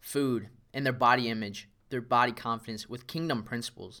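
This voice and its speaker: In a very clean recording with a silent background, a man talks fairly quickly at a medium pitch, his tone bright and sharp and his intonation fairly even. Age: 20s. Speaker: fitness coach and podcast host. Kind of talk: solo motivational monologue.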